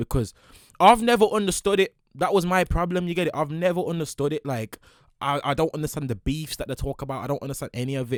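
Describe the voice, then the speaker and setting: Speaking very fast with a Brummie accent, a man sounds animated in a dry, close recording with no echo. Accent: Birmingham (Brummie). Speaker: streamer reacting to video. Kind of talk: casual reaction commentary.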